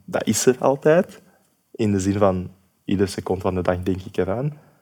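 A man talks with a fairly low pitch. His tone is dark and mellow. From Sierra Leone, then Belgium from age 12. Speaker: social worker and activist. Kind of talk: interview conversation.

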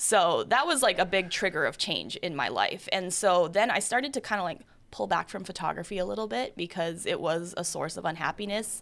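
A woman with an unremarkable speaking voice talks at a medium pitch with lively intonation. Her pace is fairly quick with hardly any pauses, on a very clean recording with a silent background. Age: 30s. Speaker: photographer. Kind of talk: casual chat.

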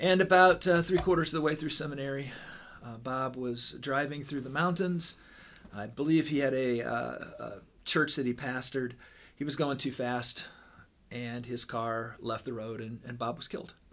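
At a moderate pace, a plain, everyday voice speaks with an American accent and ordinary pitch variation. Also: man, medium pitch for a man. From Southern Illinois. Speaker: pastor. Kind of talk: casual chat.

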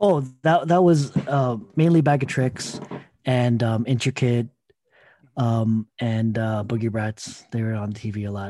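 In a Toronto accent, the voice moves at a very slow pace with a dark, mellow tone and ordinary pitch variation. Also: man, medium pitch for a man. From Scarborough, Toronto, Canada. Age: 30s. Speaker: breakdance event organizer. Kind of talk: casual interview.

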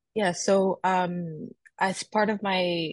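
A woman speaks in a somewhat breathy voice over a quiet background. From Montreal, Quebec. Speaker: PhD researcher. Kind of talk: interview.

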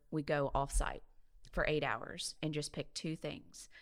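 A woman with a Southern US accent speaks in a very deep, low voice. The recording is very clean, with a silent background. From Mobile, Alabama. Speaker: health system CEO. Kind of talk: casual chat.

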